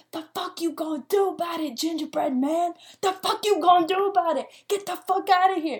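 A woman does a put-on character voice at an extremely high pitch. She talks at a fairly quick pace with ordinary pitch variation. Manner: aggressive, confrontational.

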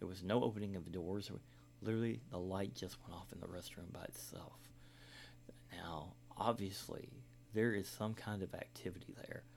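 A man with a very deep, low voice and vocal fry speaks at a moderate pace with lively intonation. His loudness swings widely, and his pauses are long and frequent. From Kentucky. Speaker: podcast host. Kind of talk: storytelling monologue. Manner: hesitant, many fillers.

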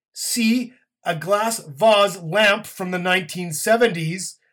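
At a very slow pace, a man uses a raised, projected voice with a high pitch, a bright, sharp tone and ordinary pitch variation. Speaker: game show host. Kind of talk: mock game show hosting, comedic scripted banter. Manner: brisk, hammy announcer patter with tongue-in-cheek asides.

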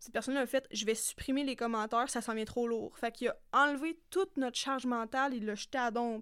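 A woman's high-pitched voice with a Quebec accent at a very fast pace with hardly any pauses, in a very clean recording with a silent background. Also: fairly even intonation. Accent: Québécois French. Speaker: podcast co-host. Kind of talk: casual chat. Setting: studio.

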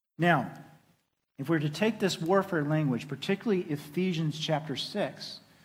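Talking at a moderate pace with a Southern US accent, a man has a fairly high pitch and ordinary pitch variation in a very clean recording with a silent background. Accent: Southern US (Oklahoma). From Oklahoma. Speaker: pastor. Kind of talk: sermon.

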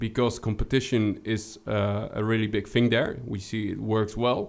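A man with a Dutch accent. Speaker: account executive, former game designer. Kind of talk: casual interview chat. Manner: halting, hesitant.

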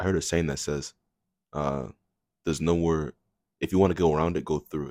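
Recorded dry and close with no echo, a man speaks at a fairly quick pace in a very deep, low pitch, with fairly even intonation and vocal fry. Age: young. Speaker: college student. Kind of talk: casual chat.

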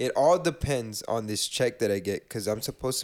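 In a very clean recording with a silent background, a man with an ordinary speaking voice talks at a medium pitch and a moderate pace. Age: 20s. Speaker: podcast co-host. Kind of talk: casual chat.

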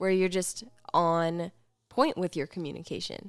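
This is a woman with an unremarkable speaking voice at a fairly low pitch. She keeps a moderate pace, and the recording is very clean with a silent background. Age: 20s. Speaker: podcast co-host. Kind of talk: casual chat.

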